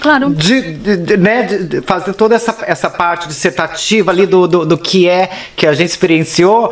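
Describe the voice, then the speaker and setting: With noticeable background noise behind him, a man talks at a moderate pace in a high voice, his loudness very even and his pitch varying in an ordinary way. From Brazil, São Paulo. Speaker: actor and performance artist. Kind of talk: casual interview.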